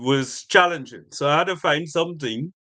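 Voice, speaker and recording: A man talks at a fairly slow pace with ordinary pitch variation and a bright, sharp tone. The background is quiet. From Trinidad. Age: 60s. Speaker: street food entrepreneur. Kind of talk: interview.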